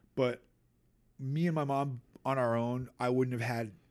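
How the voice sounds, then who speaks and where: In a very clean recording with a silent background, a man with a Boston accent speaks at medium pitch with ordinary pitch variation. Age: 40s. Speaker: hardcore band bassist and singer. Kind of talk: casual chat. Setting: in person. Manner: animated, with impressions.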